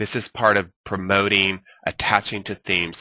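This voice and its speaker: A man's voice with a bright, sharp tone comes through in a dry, close sound with no echo. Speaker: social media marketing instructor. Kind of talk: webinar lecture. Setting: online webinar with screen share. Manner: fast; animated.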